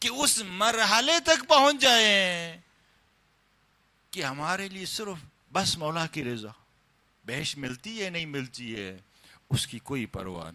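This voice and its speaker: The man's high, bright, sharp voice shows very wide pitch swings and big swings in loudness. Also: very clean recording, silent background. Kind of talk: religious sermon (majlis) lecture.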